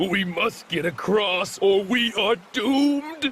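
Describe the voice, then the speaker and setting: At a fairly slow pace, a man puts on a character voice with a high pitch. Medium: read story.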